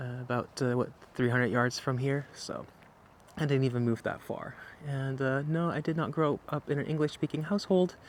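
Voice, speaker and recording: This man's voice sits fairly high, moving at a moderate pace with ordinary pitch variation. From Netherlands, Lelystad (Flevoland). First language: Dutch. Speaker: YouTuber. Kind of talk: casual vlog Q&A. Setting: outdoors. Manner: halting, many fillers.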